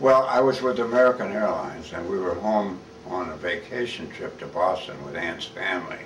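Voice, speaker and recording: A man with a US Midwestern accent talks at a fairly quick pace and fairly low pitch. Audible room echo and noticeable background noise fill the recording. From Kansas, Wichita. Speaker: war veteran. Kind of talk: oral history interview. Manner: halting.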